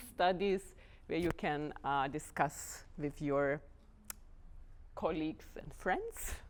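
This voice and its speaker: Speaking at a fairly slow pace, a woman with a Lithuanian accent keeps her intonation fairly even. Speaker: dance house artistic director. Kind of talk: lecture. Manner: halting, many fillers.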